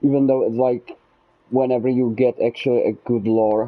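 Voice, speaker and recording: In a Czech accent, a man is speaking. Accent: Czech accent, noticeable. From Czech Republic. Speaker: gaming streamer. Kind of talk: casual live gameplay commentary. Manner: halting, many fillers and restarts.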